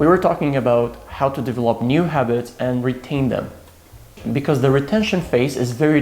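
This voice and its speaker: The speaker has a non-native accent and ordinary pitch variation. Noticeable background noise sits behind the voice. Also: man. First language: not English. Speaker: self-help YouTuber. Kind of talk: casual vlog talk to camera. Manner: casual, with fillers and repetitions.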